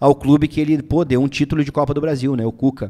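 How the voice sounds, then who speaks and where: A man talks at a fairly quick pace. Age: 20s. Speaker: football channel host. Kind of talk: casual live stream chat about football. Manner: animated. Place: studio. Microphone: studio mic.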